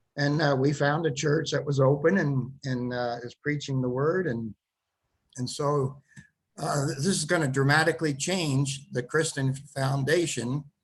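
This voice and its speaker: A man speaks in a fairly high, somewhat breathy voice. His pace is fairly slow and his intonation fairly even. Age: 70s. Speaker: author and lecturer. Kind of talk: interview.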